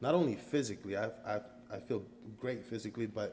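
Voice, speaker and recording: Vocal fry runs through a man's fairly low voice. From Costa Rica. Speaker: karate student. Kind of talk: interview.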